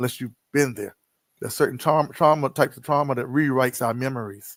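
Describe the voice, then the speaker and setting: A man speaks with an American accent at a fairly quick pace. His is a plain, everyday voice, fairly high in pitch with ordinary pitch variation. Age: 60s. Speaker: poet and author. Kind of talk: interview.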